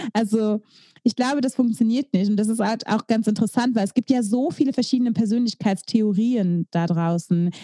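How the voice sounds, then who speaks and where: In a dry, close sound with no echo, a woman speaks at a moderate pace with a fairly high pitch, a dark, mellow tone, a somewhat breathy quality and ordinary pitch variation. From East Belgium, German-speaking border area. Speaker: podcast co-host. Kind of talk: casual chat.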